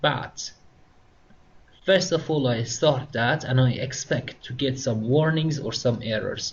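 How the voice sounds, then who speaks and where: A man's somewhat breathy, medium-pitched voice with a non-native accent, at a very slow pace. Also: ordinary pitch variation. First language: not English. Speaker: instructor. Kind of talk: tutorial. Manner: halting.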